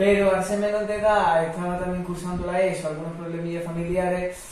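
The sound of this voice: With audible room echo, a man talks fast at a fairly high pitch in a slightly mellow tone.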